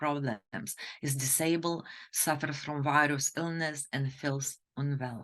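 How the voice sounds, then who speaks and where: A woman with a Lithuanian accent speaks at a fairly slow pace in a very deep, low voice. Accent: foreign accent, Lithuanian. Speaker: fertility doctor. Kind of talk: webinar presentation. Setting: online webinar.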